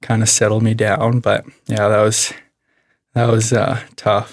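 With a western Canadian accent, a man talks in a fairly low, monotone voice that has vocal fry. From Canada, Alberta (Medicine Hat). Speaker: former college baseball player. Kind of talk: personal testimony in casual conversation.

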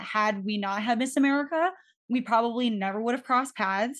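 A woman's ordinary speaking voice, fairly high and fairly quick, against a quiet background. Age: 20s. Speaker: podcast host. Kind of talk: podcast interview.

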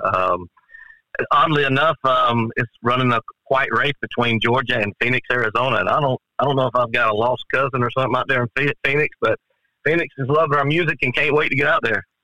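A man talks at a fairly quick pace in an unremarkable speaking voice. His loudness stays very even throughout. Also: medium pitch for a man, fairly even intonation. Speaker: country musician. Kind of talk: casual interview. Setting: phone call.

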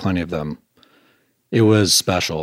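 A man with an Upper Midwest accent speaks at a fairly slow pace with a very deep, low pitch. His pitch varies in an ordinary way, and the sound is dry and close with no echo. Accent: Upper Midwest American. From Michigan, Grosse Pointe near Detroit. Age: 40s. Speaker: restaurant owner. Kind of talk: casual interview.

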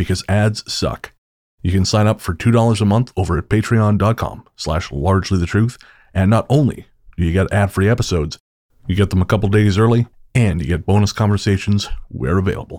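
A man talks fairly quickly in an ordinary speaking voice, fairly low in pitch with ordinary pitch variation. The recording is very clean with a silent background, and the loudness stays very even. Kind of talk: radio dj patter: late-night, intimate, theatrical sign-on to night owls. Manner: warm, smooth, playful, and conspiratorial, like a late-night radio host.

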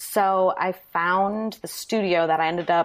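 On a very clean recording with a silent background, a woman with an American accent speaks with ordinary pitch variation. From Wisconsin, Manitowoc. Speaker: DIY blogger. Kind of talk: interview.

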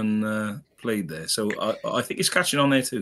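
A man with a Welsh accent speaks at a moderate pace. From Wales, lives in Wolverhampton. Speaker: podcast guest.

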